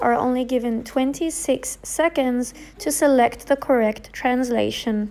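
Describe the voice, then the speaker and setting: A high-pitched woman at a fairly slow pace, with ordinary pitch variation and noticeable background noise. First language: Arabic (bilingual with English). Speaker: English teacher. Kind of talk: tutorial.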